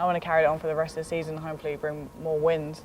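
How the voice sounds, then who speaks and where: Very fast speech with a British accent. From London, England. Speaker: college basketball player. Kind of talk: interview.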